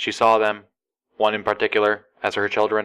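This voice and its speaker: A man talks fairly quickly in a put-on, robotic character voice pitched fairly low. The recording is very clean, with a silent background. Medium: read story. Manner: casual.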